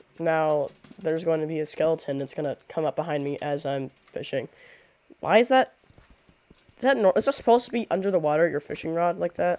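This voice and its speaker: The speech moves at a fairly quick pace. Long, frequent pauses break it up. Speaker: video game streamer. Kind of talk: casual gameplay stream chat. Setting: live webcam stream at a computer. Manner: animated. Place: home room.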